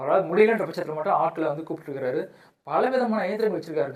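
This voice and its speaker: High pitch from a man, with ordinary pitch variation. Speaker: farming channel host. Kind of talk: casual interview vlog narration.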